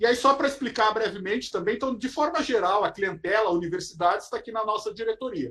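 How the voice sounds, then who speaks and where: A man with a southern Brazilian accent and a high voice. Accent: gaúcho Brazilian Portuguese. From southern Brazil, Porto Alegre. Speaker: federal auditor. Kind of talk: lecture.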